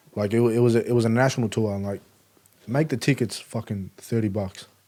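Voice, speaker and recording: An Australian accent in a dark, mellow tone, fairly even intonation and a fairly quick pace. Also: man, medium pitch for a man. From Melbourne, Australia. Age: 20s. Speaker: rapper. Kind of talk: casual chat. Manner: casual, lots of filler words.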